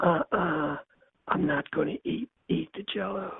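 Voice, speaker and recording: In a put-on character voice that is soft-spoken and raspy, the speaker uses a middle pitch at a fairly slow pace. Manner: softly refusing.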